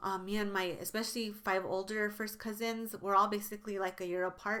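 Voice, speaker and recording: This woman speaks at a medium pitch and a fairly quick pace. Her intonation stays monotone and flat. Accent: American. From New Mexico, US. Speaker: beauty YouTuber. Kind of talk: casual vlog talk to camera. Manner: conversational, many fillers.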